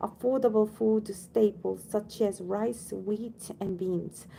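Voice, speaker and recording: Speaking at a very slow pace, a woman with a non-native accent has a dark, mellow tone. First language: not English. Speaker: audiobook reader, channel owner. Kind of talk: reading aloud; casual chat. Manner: halting, with self-corrections.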